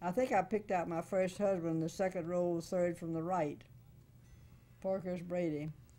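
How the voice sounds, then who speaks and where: A woman with a Florida accent speaks in a fairly low pitch, her tone dark and mellow and her intonation fairly even. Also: moderate pace. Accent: Southern US (Florida). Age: 90s. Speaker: interview subject, oral history elder; interview subject. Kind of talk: oral history interview, reminiscing. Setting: interview at her home, video recorded. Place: home room.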